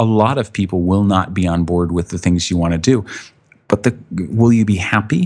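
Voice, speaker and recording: A man with a fairly low pitch and ordinary pitch variation has an unremarkable speaking voice. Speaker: author and photographer. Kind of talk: casual interview chat. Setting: video call.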